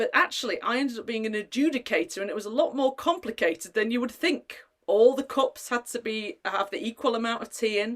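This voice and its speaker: Lively in intonation and fairly high in pitch, a woman with a plain, everyday voice talks at a fairly quick pace. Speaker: community assembly host. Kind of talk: casual hosting of online gathering.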